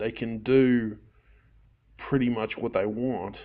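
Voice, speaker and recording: An unremarkable speaking voice from a man, medium in pitch, at a fairly slow pace. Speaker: podcast host. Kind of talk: podcast interview.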